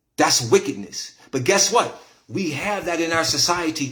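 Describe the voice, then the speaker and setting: Animated in tone, a man speaks at a moderate pace with a fairly high pitch. His intonation is lively. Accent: American. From Syracuse, New York, US. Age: 50s. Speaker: internet talk show host and commentator. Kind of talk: casual monologue to live chat. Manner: animated, preachy.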